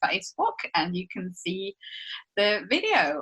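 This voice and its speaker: A bright, sharp voice with a Swiss accent at a very slow pace. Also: woman. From Switzerland. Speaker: podcast co-host. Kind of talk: casual chat.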